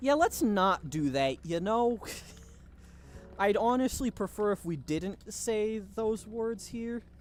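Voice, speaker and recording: At a very slow pace, a man with a high-pitched voice talks with lively intonation. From Germany. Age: 19 years old. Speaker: gaming streamer. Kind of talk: live gameplay stream chatting with chat. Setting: livestream. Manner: casual, conversational.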